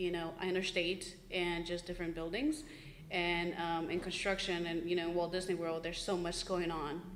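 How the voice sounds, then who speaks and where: A woman's fairly low, monotone, flat voice in a Spanish accent, with audible room echo and noticeable background noise. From born in Mexico, raised in Florida from age 8. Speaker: engineer in construction, panelist. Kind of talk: panel discussion.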